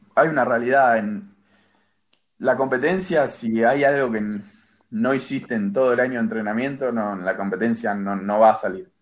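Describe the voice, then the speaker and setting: With a plain, everyday voice, a man speaks at a medium pitch and a moderate pace, using ordinary pitch variation. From Argentina. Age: 20s. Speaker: athlete. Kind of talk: interview.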